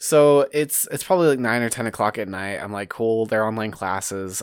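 A man with an unremarkable speaking voice talks at a fairly quick pace, using a medium pitch and lively intonation. The recording is very clean, with a silent background. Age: 20s. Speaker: podcast host. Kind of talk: casual chat.

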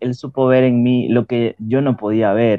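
A man speaks at a medium pitch. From Ecuador. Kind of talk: testimony. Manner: hesitant with fillers.

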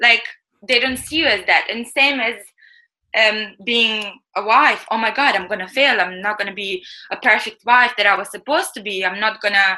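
With a non-native accent, a woman speaks at a fairly high pitch and a moderate pace. Her tone is bright and sharp, with ordinary pitch variation. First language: not English. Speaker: chef and author. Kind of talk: interview.

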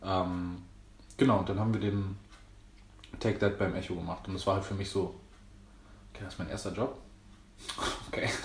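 A man's somewhat breathy, fairly low voice with monotone, flat intonation, a fairly quick pace, long, frequent pauses and audible room echo. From Berlin, Germany. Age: 20s. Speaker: dancer and choreographer. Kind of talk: casual chat.

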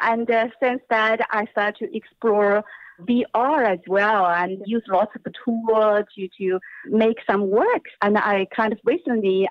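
A woman with a fairly high pitch speaks very slowly in a Chinese accent, using ordinary pitch variation. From China. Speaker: performance and new media artist. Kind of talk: interview. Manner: halting.

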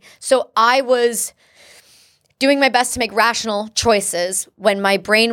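A normal speaking voice with a Canadian accent and ordinary pitch variation. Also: woman. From English-speaking Canada. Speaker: war veteran. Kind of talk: interview testimony.

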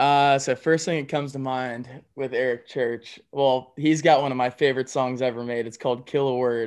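A man's medium-pitched, monotone, flat voice with an American accent at a moderate pace with hardly any pauses, over a quiet background. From US South, Georgia (Canton, north of Atlanta). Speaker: country singer. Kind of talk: casual interview chat.

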